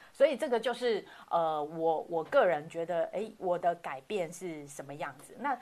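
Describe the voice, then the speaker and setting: A woman moves through very wide pitch swings at a fairly slow pace. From Taiwan, Hakka background. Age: 40s. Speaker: hotel industry worker. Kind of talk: casual chat. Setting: online livestream. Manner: animated, laughs often.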